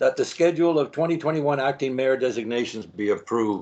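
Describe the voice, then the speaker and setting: At a moderate pace and medium pitch, a man with a Canadian accent speaks in an unremarkable speaking voice with ordinary pitch variation. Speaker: mayor chairing council meeting. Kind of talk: formal council meeting chairing. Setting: video call.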